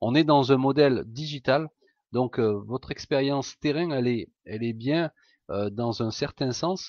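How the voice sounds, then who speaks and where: The speaker has a southern French accent and a moderate pace with ordinary pitch variation. The sound is dry and close with no echo, over a quiet background. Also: man. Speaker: entrepreneur. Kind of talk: sales pitch. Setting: live webinar. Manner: hesitant, many fillers.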